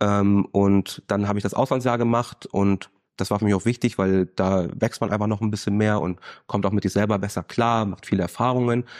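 With a dry, close sound and no echo, a man speaks at a moderate pace and fairly low pitch in a monotone, flat intonation over a quiet background. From Germany. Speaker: student, former business manager. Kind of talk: interview.

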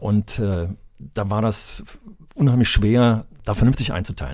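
A man with a dark, mellow tone. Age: 60s. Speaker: retired school principal and former sports teacher. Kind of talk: casual chat.

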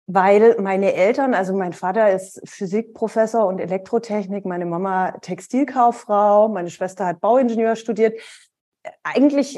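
A woman talks in a dark, mellow tone. Her pace stays moderate. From Germany, Karlsruhe area (Baden). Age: 40s. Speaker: business angel investor and speaker. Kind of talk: interview conversation.

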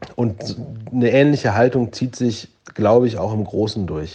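His dark, mellow tone carries fairly even intonation as this man speaks. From Germany. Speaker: listener sending voice message. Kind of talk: voice message monologue.

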